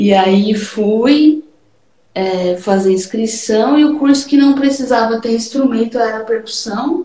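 A woman speaks very slowly, with noticeable background noise behind her. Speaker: percussionist. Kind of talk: casual chat.

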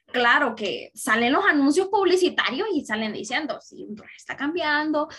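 With a Honduran accent, a woman speaks at a fairly slow pace in a high, bright, sharp voice, her pitch swinging very widely and her loudness rising and falling in big swings. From Honduras. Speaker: university student. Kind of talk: casual podcast chat.

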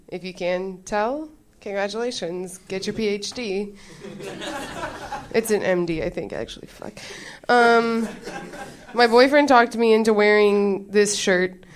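With noticeable background noise, a woman talks fairly slowly and leaves long, frequent pauses. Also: medium pitch for a woman, ordinary pitch variation. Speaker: comedian. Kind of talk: stand-up. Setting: stage with audience.

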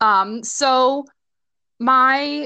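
Here is a woman with an American accent and a high pitch, her tone bright and sharp. The sound is dry and close, with no echo. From Nebraska, US Midwest. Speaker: seminary student. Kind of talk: casual interview chat.

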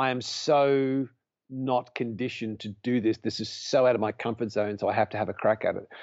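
At a moderate pace and medium pitch, a man speaks with an Australian accent. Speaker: podcast guest, charity supporter and volunteer firefighter. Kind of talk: casual interview chat.

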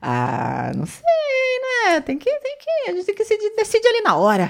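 Her intonation lively, a woman speaks. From São Paulo, of northeastern (Ceará) parents. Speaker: reality show contestant. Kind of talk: casual chat.

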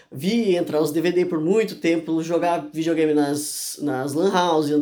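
Speaking at a fairly slow pace, a man with a high pitch and a dark, mellow tone uses ordinary pitch variation. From Santa Catarina, Brazil (Urubici). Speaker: former youtuber. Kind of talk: casual chat.

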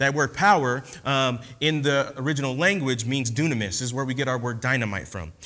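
A man's bright, sharp voice at a fairly quick pace, with ordinary pitch variation and audible room echo. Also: medium pitch for a man. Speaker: guest preacher. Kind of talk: sermon. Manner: relaxed.

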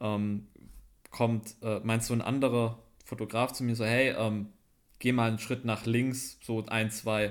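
The recording is very clean, with a silent background. A man talks at a moderate pace and medium pitch in a monotone, flat intonation. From Swabia, Schwäbisch Gmünd near Stuttgart. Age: 20s. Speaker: photographer and cameraman. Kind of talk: casual chat.

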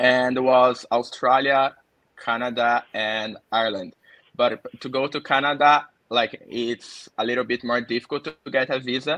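At a moderate pace, a man talks with medium pitch and fairly even intonation in a bright, sharp tone. The sound is dry and close with no echo, and the background is quiet. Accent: Portuguese. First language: Portuguese. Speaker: engineer. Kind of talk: casual chat.

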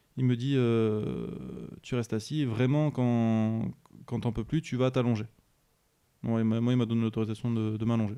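In a dark, mellow tone, a man speaks with monotone, flat intonation and very even loudness. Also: medium pitch for a man, fairly slow pace. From France, Bordeaux area. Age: 20s. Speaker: ambulance worker. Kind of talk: interview testimony. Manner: hesitant, many fillers.

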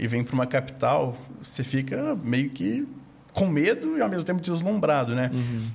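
A somewhat breathy man of medium pitch at a fairly quick pace. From Minas Gerais, Brazil. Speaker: investment firm founder. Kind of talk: casual interview.

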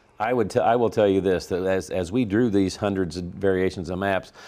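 Against a quiet background, a man speaks with a Missouri accent. His tone is dark and mellow, and his pitch is very deep and low. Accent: rural Missouri Midwestern. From Missouri, rural Franklin County. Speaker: state senate leader. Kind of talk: political interview.

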